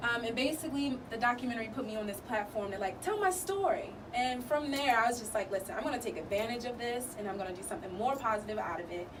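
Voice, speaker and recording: A woman with an American accent, very fast and animated, high-pitched, with hardly any pauses, noticeable background noise and audible room echo. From US, Baltimore, Maryland. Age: 20s. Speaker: student, actress and step team founder. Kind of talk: radio interview. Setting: radio studio.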